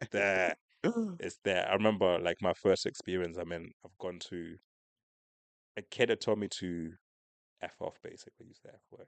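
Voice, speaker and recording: A man speaks at a very deep, low pitch and a moderate pace, with monotone, flat intonation. His loudness swings widely, and he takes long, frequent pauses. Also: dry, close sound with no echo. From Zimbabwe, moved as a child to southern England (Slough). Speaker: podcast co-host. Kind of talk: casual chat.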